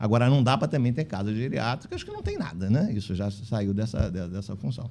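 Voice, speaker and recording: A man with a fairly low pitch talks in an animated tone at a fairly quick pace. Pitch varies in an ordinary way, and there is noticeable background noise. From Italy. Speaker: physician and care-home association leader. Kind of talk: casual interview chat. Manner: fast.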